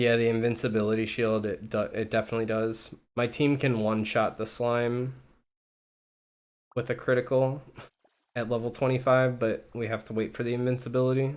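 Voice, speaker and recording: A man speaking at a fairly quick clip in a flat monotone, broken by long, frequent pauses. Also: medium pitch for a man. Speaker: gaming streamer. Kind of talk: casual live stream commentary.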